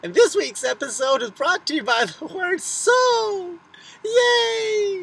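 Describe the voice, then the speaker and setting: A put-on character voice at an extremely high pitch, with very wide pitch swings and a fairly slow pace. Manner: bad impression, cheerful and silly.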